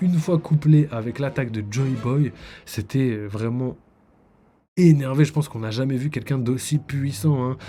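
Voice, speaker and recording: With music in the background, a man speaks at medium pitch and a moderate pace. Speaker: manga streamer. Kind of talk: live stream analysis. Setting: live stream on camera. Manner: hesitant, many fillers.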